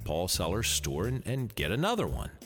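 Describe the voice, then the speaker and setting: Speaking with an American accent, a man uses vocal fry and a relaxed tone while his pitch swings very widely. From Pennsylvania. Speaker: radio storyteller. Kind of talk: nostalgic storytelling, reminiscing about old days. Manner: folksy, relaxed, wry humor.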